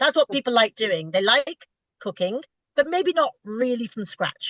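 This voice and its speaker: A woman with a British accent shows very wide pitch swings in a dry, close sound with no echo. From Britain. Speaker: retail food buyer. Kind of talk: interview. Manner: halting, repeats words.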